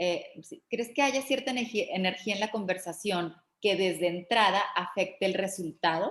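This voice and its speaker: The speaker has a northern Mexican accent. The pace is moderate and the pitch varies in an ordinary way. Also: woman, medium pitch for a woman. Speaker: class host. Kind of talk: online class Q&A. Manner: direct.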